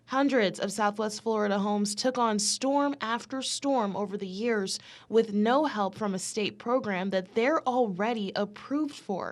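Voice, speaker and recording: A woman speaks at a fairly slow pace with hardly any pauses, in a plain, everyday voice of fairly high pitch with ordinary pitch variation, on a very clean recording with a silent background. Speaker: investigative reporter and fill-in anchor. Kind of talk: TV news package voiceover narration.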